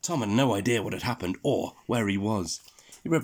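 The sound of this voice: The speaker uses an unforced reading voice. Pitch moves with ordinary variation.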